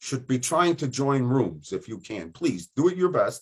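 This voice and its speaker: The pace is moderate and the intonation lively. It is an unremarkable speaking voice. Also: man. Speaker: teacher trainer hosting webinar. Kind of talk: online workshop facilitation.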